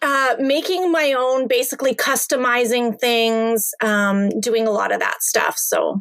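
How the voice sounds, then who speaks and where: The speech moves at a fairly slow pace with hardly any pauses, ordinary pitch variation and very even loudness. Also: woman, high pitch for a woman. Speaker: online seller. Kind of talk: interview.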